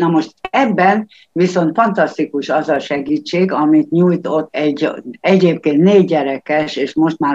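A woman speaks with a very deep, low pitch at a fairly slow pace. Her pitch varies in an ordinary way, and the sound is dry and close with no echo. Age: 70s. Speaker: retired volunteer tutor. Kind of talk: radio interview.

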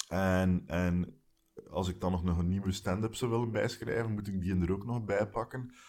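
With a very deep, low pitch and a Flemish accent, a man speaks at a moderate pace with fairly even intonation. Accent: Flemish accent, noticeable. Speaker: stand-up comedian and podcaster. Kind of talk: casual chat. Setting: garden house, sitting close together.

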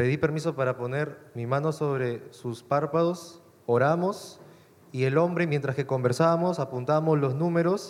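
A man speaks in a plain, everyday voice, keeping a moderate pace. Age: 20s. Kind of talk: testimony.

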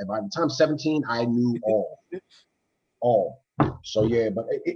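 Somewhat breathy, a man talks at a medium pitch. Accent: American. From DMV (Washington DC area). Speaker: martial arts instructor and YouTuber. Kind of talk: casual chat.

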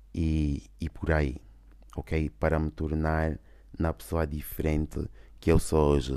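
At a very slow pace with long, frequent pauses, a man speaks in a very deep, low pitch with a dark, mellow tone and monotone, flat intonation. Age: 20s. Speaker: podcaster. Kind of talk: casual unscripted monologue. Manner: hesitant, many fillers and English code-switching.

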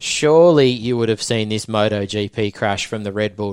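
This voice comes with an Australian accent. The background is silent and the recording very clean. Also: man. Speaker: motocross podcast host. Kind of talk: casual chat.

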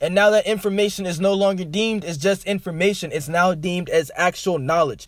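This man has a high-pitched voice. His pitch varies in an ordinary way. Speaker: self-help podcaster. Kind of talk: solo monologue podcast. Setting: in a car. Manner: fast.

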